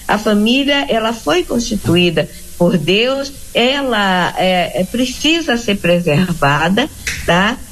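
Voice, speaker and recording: A woman with a fairly high pitch speaks at a very slow pace, her voice showing very wide pitch swings at very even loudness. Noticeable background noise runs underneath. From Rio de Janeiro. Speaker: missionary. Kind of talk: interview.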